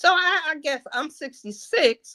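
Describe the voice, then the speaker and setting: In a bright, sharp tone, a woman projects a raised voice at a very slow pace, the sound dry and close with no echo. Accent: American. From New Jersey. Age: 60s. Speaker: caller. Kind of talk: casual chat. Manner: halting.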